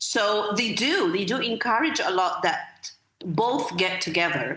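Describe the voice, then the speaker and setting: A woman talks in an Arabic accent with a bright, sharp tone. Audible room echo fills the recording. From Egypt. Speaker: school literacy director and accreditation expert. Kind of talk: podcast interview. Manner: repetitive, hesitant with many fillers.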